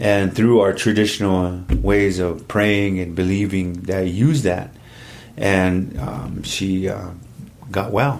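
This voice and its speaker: Speaking very slowly in a very deep, low voice with ordinary pitch variation, a man is heard amid noticeable background noise and audible room echo. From US Midwest (Standing Rock reservation, South Dakota). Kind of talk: interview.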